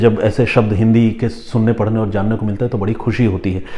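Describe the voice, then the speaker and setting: With a Bengali accent, a man speaks at medium pitch in a monotone, flat intonation against noticeable background noise. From Bengali background, India. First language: Bengali (speaking Hindi). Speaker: crime journalist and storyteller host. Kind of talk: crime story narration with viewer comment reading. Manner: conversational, with fillers and self-corrections.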